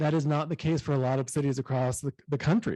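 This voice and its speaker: A man talks at a very fast pace, his pitch fairly high and his tone dark and mellow. The sound is dry and close with no echo, against a quiet background. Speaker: city manager. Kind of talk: conference presentation.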